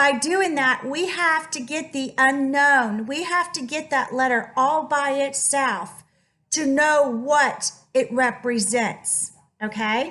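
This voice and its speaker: Speaking at a very slow pace, a woman projects a raised voice with a bright, sharp tone, a high pitch and ordinary pitch variation, and audible room echo fills the recording. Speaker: math teacher. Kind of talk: lecture. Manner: animated.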